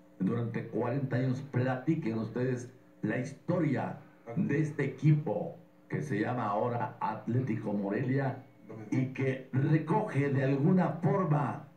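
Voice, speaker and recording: Over music in the background and audible room echo, a man speaks at a fairly slow pace with ordinary pitch variation. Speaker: radio sports host. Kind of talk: radio sports broadcast talk. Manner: emotional, nostalgic, addressing listeners. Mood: passionate, nostalgic. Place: studio.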